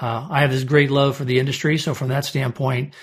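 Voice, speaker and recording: A somewhat breathy man with an American accent at a very fast pace. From US Midwest (St. Louis, Omaha). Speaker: restaurant trade association CEO. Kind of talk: interview.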